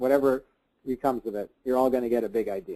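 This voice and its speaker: At a very fast pace, a man with a medium pitch and a dark, mellow tone talks in a Canadian accent. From Canada. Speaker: business coach and speaker. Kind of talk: webinar Q&A. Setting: webinar call.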